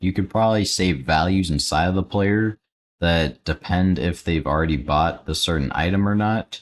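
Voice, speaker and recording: Against a quiet background, a man with a very deep, low pitch talks at a moderate pace with ordinary pitch variation. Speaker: Roblox Studio tutorial YouTuber, live streamer. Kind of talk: live stream, casual Q&A while building. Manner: quiet, low-energy.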